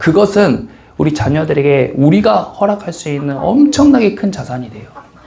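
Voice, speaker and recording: This man's pitch swings very widely as he talks at a moderate pace. Noticeable background noise and audible room echo sit around him. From Korean region with a strong dialect. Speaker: pastor. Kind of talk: sermon.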